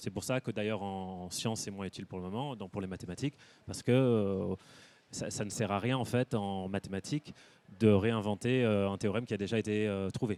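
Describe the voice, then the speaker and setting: Speaking at a fairly quick pace, a man with a fairly low pitch and a dark, mellow tone keeps his intonation fairly even, in a dry, close sound with no echo. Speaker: artist and photographer. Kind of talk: panel talk interview. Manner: fast; hesitant with many fillers.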